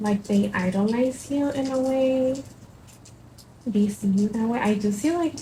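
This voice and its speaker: A fairly high-pitched woman with a Spanish accent, a moderate pace and ordinary pitch variation, over noticeable background noise. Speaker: tarot reader. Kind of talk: tarot reading. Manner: halting, many fillers.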